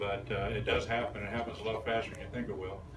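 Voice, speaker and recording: Speaking at a fairly quick pace, a man is heard through noticeable background noise and audible room echo. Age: 60s. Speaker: retired accountant giving a talk. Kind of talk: talk to young audience. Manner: conversational with fillers.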